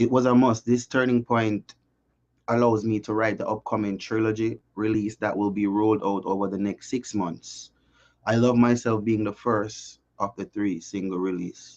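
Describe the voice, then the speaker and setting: Over a quiet background, a man with a Jamaican accent talks at a moderate pace in a fairly low, monotone, flat voice. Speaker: singer-songwriter. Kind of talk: interview.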